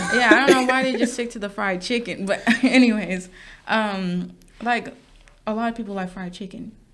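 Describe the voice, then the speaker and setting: Long, frequent pauses break up speech at a moderate pace. The pitch variation is ordinary. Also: woman, fairly high pitch for a woman, big swings in loudness. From US Midwest, Wisconsin suburbs. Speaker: podcast co-host. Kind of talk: casual chat.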